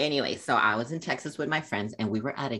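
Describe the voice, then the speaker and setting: A woman talks at a fairly quick pace. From Puerto Rico. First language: Spanish. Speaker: gaming YouTuber. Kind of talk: casual chat.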